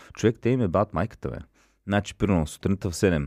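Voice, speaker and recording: A man speaks in a very deep, low voice. The recording is very clean with a silent background, and the sound is dry and close with no echo. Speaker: comedian. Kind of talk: casual chat.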